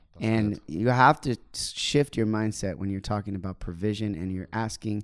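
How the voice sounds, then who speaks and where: A man talks in a normal speaking voice at a moderate pace, fairly low in pitch with ordinary pitch variation. The recording is very clean with a silent background. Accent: American. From Oklahoma, US. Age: 20s. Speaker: missionary and worship leader. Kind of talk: casual podcast chat. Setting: studio recording in London.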